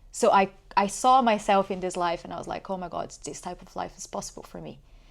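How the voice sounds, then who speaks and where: A woman with a Portuguese accent speaks very fast at a medium pitch with vocal fry. Her pitch varies in an ordinary way. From Brazil. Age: 30s. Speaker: podcast guest. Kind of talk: casual interview.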